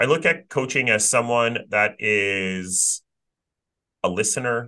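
A man speaks at a fairly slow pace in a bright, sharp tone. His pitch varies in an ordinary way over a quiet background. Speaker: career coach and podcast host. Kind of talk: casual conversational podcast chat.

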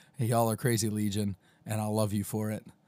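A man's fairly low, dark and mellow voice, monotone and flat, at a moderate pace in a very clean recording with a silent background. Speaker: podcaster vlogger. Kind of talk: solo daily vlog monologue. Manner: hesitant, many fillers.

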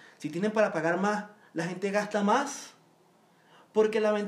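A man talks at a moderate pace with ordinary pitch variation. Audible room echo is present. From Venezuela. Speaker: Venezuelan guest commenting on politics. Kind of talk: casual chat.

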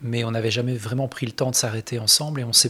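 With a bright, sharp tone, a man speaks at a medium pitch and a fairly quick pace. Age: 40s. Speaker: guitarist. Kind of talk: interview.

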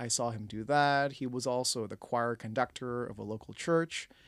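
In a Canadian accent, a man speaks with an unremarkable speaking voice at a medium pitch. His pace is fairly slow, with ordinary pitch variation. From Canada, Toronto (Scarborough). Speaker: film and TV director. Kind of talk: interview conversation. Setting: studio.

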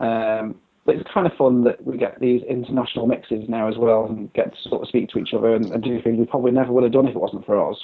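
Here a man talks very fast. His intonation is monotone and flat. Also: medium pitch for a man. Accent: English. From Britain. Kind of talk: interview conversation.

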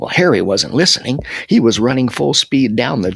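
With lively intonation, the voice reads in an unforced way.

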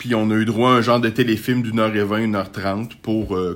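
The voice is a man's. He speaks in a flat, monotone way. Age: 40s. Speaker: podcaster. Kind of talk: casual monologue. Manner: halting.

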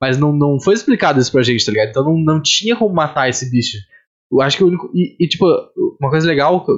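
Very fast speech with lively intonation from a man with a fairly high voice. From Rio Grande do Sul, southern Brazil. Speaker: podcast host. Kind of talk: casual chat.

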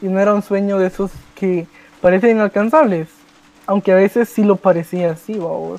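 Fairly quick and high-pitched, a man with a Guatemalan accent keeps a fairly even intonation, the sound dry and close with no echo. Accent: Guatemalan Spanish, unchanged. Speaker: youtuber. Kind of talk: casual chat.

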